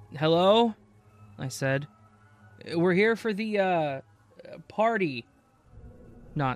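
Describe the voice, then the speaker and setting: A man speaks over music playing in the background. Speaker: horror story narrator. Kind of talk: ghost story narration, spooky creepypasta reading. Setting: online video channel narration. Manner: dramatic, suspenseful pacing; conversational, casual.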